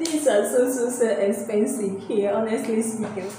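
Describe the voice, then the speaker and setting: Strong room echo and noticeable background noise surround a woman speaking at a fairly slow pace with fairly even intonation. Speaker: vlogger. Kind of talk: casual vlog chat. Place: home room. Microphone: phone near.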